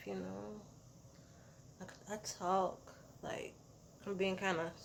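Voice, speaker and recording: A woman is speaking. Her pace is very slow. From US South. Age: 40s. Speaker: vlogger. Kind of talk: casual vlog talk. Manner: casual, with fillers and self-corrections.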